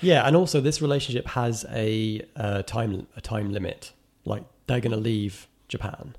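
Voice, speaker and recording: A man with an ordinary speaking voice talks at a moderate pace, his pitch medium and his intonation lively. The recording is very clean, with a silent background. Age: 30s. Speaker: film critic. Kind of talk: casual chat.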